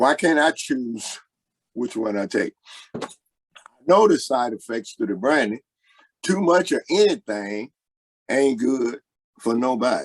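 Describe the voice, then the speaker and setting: Over a dry, close sound with no echo, a man speaks at a medium pitch and a fairly slow pace, his intonation lively and his pauses long and frequent. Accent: American. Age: 60s. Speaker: blues singer. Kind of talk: interview.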